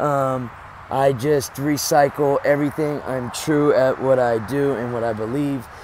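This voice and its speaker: Over noticeable background noise, a man speaks at a fairly slow pace. His fairly high pitch stays flat and monotone. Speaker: home gardener and homesteader. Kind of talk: casual video walkthrough. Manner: many fillers and hesitations.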